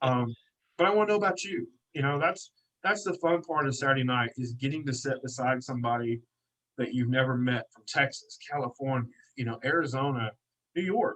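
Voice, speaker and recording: A man with an American accent talks at a fairly quick pace in a medium pitch. His loudness rises and falls in big swings. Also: ordinary pitch variation. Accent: hillbilly. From Kentucky, US South. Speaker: detailing business owner and event organiser. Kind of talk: podcast interview. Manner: animated.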